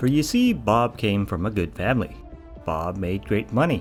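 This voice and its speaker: Over music in the background, a man talks at a moderate pace and medium pitch with lively intonation. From Canada. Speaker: gaming YouTuber. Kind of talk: mockumentary game review narration.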